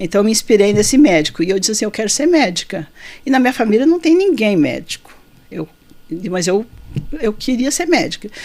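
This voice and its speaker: Very wide pitch swings at a fairly quick pace, broken by long, frequent pauses. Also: woman, fairly high pitch for a woman. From Rio Grande do Sul, southern Brazil. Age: 60s. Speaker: physician. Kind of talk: interview.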